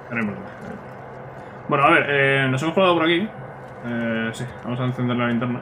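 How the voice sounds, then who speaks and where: Speaking at a very fast pace with long, frequent pauses, a man is heard over noticeable background noise and audible room echo. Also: medium pitch for a man, ordinary pitch variation. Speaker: gaming youtuber. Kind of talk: let's play commentary. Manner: casual, chatty.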